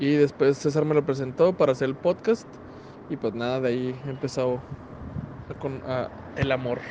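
A medium-pitched male voice at a moderate pace, with long, frequent pauses, fairly even intonation and noticeable background noise. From Chihuahua, northern Mexico (Parral; raised in Ciudad Juárez). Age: 30s. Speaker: graphic designer and podcaster. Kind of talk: recorded voice message answers. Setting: recorded separately, voice message.

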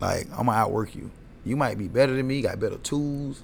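A man with audible room echo. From US South, Atlanta, Georgia. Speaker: barber. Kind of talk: casual chat.

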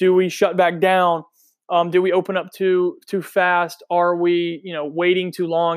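A man speaks with an American accent in a high pitch. His pace is moderate, on a very clean recording with a silent background. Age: 20s. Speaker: sports podcast host. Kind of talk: casual solo podcast monologue. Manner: casual with frequent fillers.

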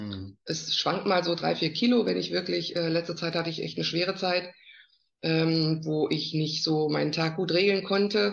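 A woman with an ordinary speaking voice talks at a moderate pace, her fairly low pitch carried by lively intonation. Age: 50s. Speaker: network marketer. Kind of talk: casual interview.

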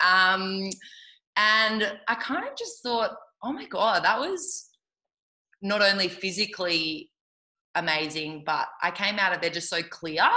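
In an Australian accent, a woman at a medium pitch talks at a fairly slow pace with long, frequent pauses, her tone energetic, bright and sharp. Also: ordinary pitch variation. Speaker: yoga teacher. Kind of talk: casual interview chat. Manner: loud.

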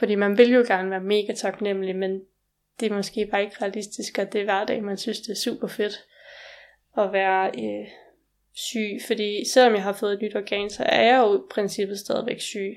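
A woman talks at a moderate pace, her medium pitch paired with fairly even intonation. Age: 20s. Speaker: organ transplant recipient. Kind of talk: interview. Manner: halting.

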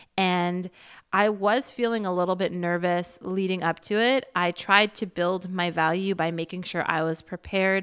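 In a very clean recording with a silent background, a woman with an unremarkable speaking voice talks at a medium pitch with fairly even intonation. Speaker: podcast host and creator. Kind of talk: casual solo monologue.

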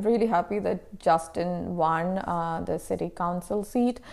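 In a very clean recording with a silent background, a woman with a non-native accent speaks at a moderate pace and medium pitch, her intonation fairly even. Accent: foreign-accented English. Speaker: professor and researcher. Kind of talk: interview conversation.

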